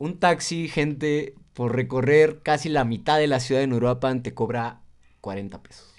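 Against a quiet background, a man in a plain, everyday voice speaks at a medium pitch and a fairly slow pace, with ordinary pitch variation and big swings in loudness. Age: 20s. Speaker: podcast co-host. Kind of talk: casual chat.

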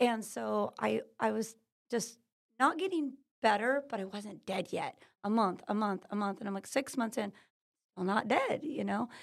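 A woman with an American accent, fairly high in pitch with vocal fry, at a moderate pace. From California. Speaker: natural healing business owner. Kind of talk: interview. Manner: energetic.

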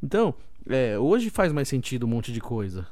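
A dark, mellow tone comes at a moderate pace with audible room echo. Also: man. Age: 30s. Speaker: podcast host. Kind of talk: casual solo podcast talk. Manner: animated.

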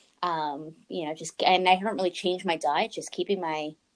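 An ordinary speaking voice with a Canadian accent, at a moderate pace and with ordinary pitch variation. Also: woman. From Canada. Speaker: nutritionist and podcast host. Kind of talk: casual interview.

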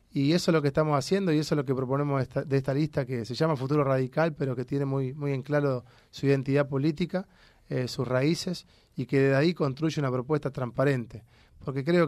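A man with a Rioplatense accent talks at a very fast pace in a fairly high voice for a man, his intonation fairly even. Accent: Argentine Spanish (rioplatense). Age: 40s. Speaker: politician, legislative candidate. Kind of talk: interview.

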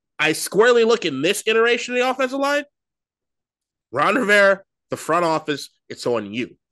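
A man's raised, projected voice, high and bright with a sharp edge, comes through in an animated tone with very wide pitch swings. He moves at a fairly quick pace yet leaves long, frequent pauses. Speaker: sports podcast co-host. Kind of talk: casual chat.

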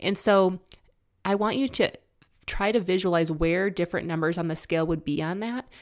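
With an ordinary speaking voice, a woman talks at a fairly quick pace, using ordinary pitch variation around a fairly low pitch. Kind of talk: guided imagery exercise within an educational talk. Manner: calm, instructive, coaxing the listener step by step; warm and conversational with light laughter.

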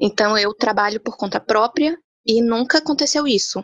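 This woman has a normal speaking voice, fairly high in pitch, with ordinary pitch variation. The sound is dry and close, with no echo. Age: 20s. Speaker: entrepreneur. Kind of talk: casual panel discussion.

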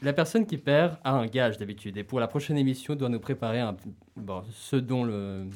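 On a very clean recording with a silent background, a man of medium pitch talks at a moderate pace with ordinary pitch variation. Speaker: radio host. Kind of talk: casual radio talk show. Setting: radio studio. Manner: energetic.

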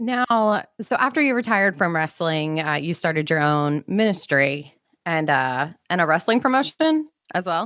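A woman with an American accent, her fairly low voice making very wide pitch swings at a fairly slow pace, in a very clean recording with a silent background. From US Mid-Atlantic (Maryland). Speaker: podcast co-host. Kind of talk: casual chat and interview.

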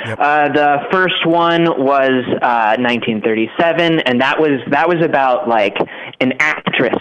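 Noticeable background noise beneath ordinary pitch variation. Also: man. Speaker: staff writer. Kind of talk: casual chat.

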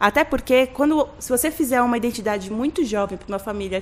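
With lively intonation, a woman of fairly high pitch speaks in a normal speaking voice. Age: 30s. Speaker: graphic designer. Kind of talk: casual chat.

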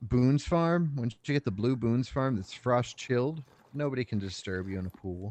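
Speaking with an American accent in a normal speaking voice, a man at medium pitch keeps a moderate pace and lively intonation, recorded with a dry, close sound and no echo. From Oklahoma. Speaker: podcast co-host. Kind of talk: casual chat.

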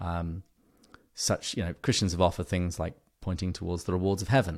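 A man's very deep, low voice with an English accent at a fairly quick pace, in a very clean recording with a silent background. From England. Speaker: podcast host on an author, guest expert. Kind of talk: casual interview conversation.

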